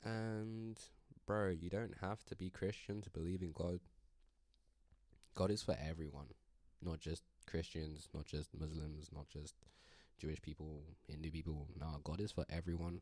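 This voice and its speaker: A relaxed, dark, mellow male voice with an American accent, very deep and low in pitch, ordinary pitch variation, a moderate pace and long, frequent pauses. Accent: British, slips into American at times. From UK. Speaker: musician and spiritual vlogger. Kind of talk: casual vlog monologue. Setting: recording on a laptop webcam. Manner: rambling, relaxed.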